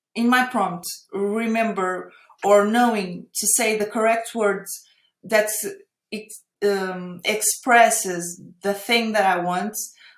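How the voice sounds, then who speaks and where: A woman's fairly high-pitched voice at a very slow pace, with fairly even intonation and long, frequent pauses. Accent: Portuguese. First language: Portuguese. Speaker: AI artist. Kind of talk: interview conversation. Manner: halting.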